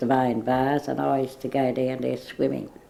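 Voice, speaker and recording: A woman with an Australian accent, very deep and low in pitch, with very wide pitch swings, a fairly slow pace and noticeable background noise. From Woolloomooloo, Sydney, Australia. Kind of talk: oral history interview answer.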